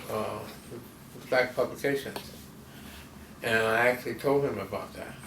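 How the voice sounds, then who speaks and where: Long, frequent pauses break up a man's monotone, flat delivery in an American accent. Noticeable background noise is present. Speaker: cartoonist. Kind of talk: interview answer. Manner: hesitant, halting.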